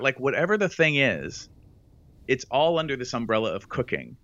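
Very wide pitch swings mark a man's fairly slow delivery. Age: 50s. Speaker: sex educator. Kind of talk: interview.

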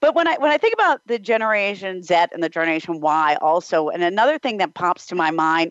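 A woman speaks in an ordinary speaking voice with fairly low pitch. Her pace is fairly quick and her intonation lively. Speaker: radio host. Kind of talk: interview.

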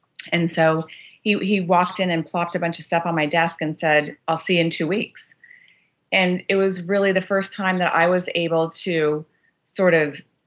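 A woman's fairly low voice with a Californian accent, monotone and flat, at a moderate pace against a quiet background. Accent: Californian American. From US West Coast, Los Angeles. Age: 50s. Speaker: business executive and author. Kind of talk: interview.

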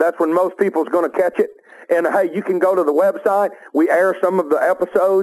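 A fairly quick, high-pitched male voice in a Southern US accent, its loudness very even. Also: fairly even intonation. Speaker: outdoor TV show host. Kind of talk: casual banter.

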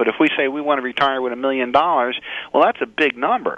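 A normal speaking voice. The pace is fairly quick. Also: man. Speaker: financial planner. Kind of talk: interview.

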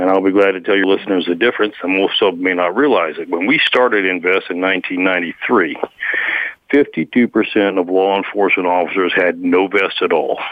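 In an American accent, a man with a very deep, low voice talks very fast with fairly even intonation over noticeable background noise. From Guadalajara, Mexico (returned to US as teen). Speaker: nonprofit founder, police advocate. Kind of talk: interview.

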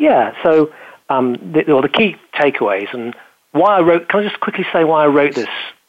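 With a British accent, a man speaks at a fairly high pitch using lively intonation. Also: moderate pace. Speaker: business show host and speaker. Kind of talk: casual interview chat.

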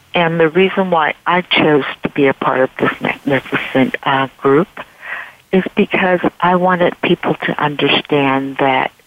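Amid noticeable background noise, a woman talks at a fairly slow pace with ordinary pitch variation. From San Francisco Bay Area. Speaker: style consultant and former model. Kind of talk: radio interview.

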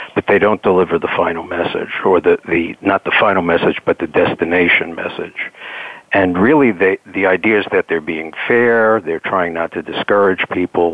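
Over noticeable background noise, a man with a New York accent speaks at a moderate pace in a very deep, low voice with ordinary pitch variation. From New York City. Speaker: executive coach. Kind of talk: interview.

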